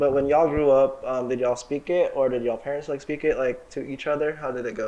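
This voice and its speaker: A man's fairly high voice races along at a very fast pace, his intonation fairly even, while noticeable noise fills the background. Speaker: student club podcast co-host. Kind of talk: casual chat.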